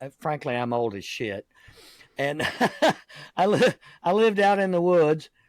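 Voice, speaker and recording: A man speaks with a Southern US accent, his pitch swinging very widely. The pace is moderate. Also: dry, close sound with no echo. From US South, Jacksonville, Florida. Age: 60s. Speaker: podcast host. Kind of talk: casual interview chat. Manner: hesitant, many fillers.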